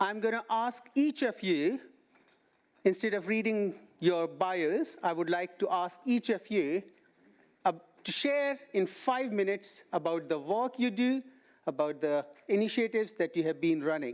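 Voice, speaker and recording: Someone with an Indian accent speaks at a fairly slow pace, leaving long, frequent pauses. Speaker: panel moderator. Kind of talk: panel introductions.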